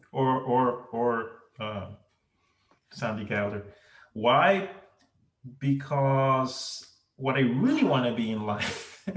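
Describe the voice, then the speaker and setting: A somewhat breathy man speaks very slowly at a medium pitch, with long, frequent pauses. Audible room echo surrounds his voice. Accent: Venezuelan. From Venezuela. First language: Spanish. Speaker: ophthalmologist. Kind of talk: interview. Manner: halting.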